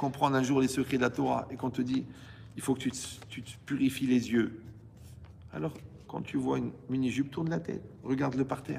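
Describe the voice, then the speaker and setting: A man's medium-pitched voice with vocal fry, ordinary pitch variation, a moderate pace and big swings in loudness. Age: 60s. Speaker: rabbi teaching Torah. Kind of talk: Torah lecture to a live audience. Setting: hall with audience. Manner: animated, conversational with asides.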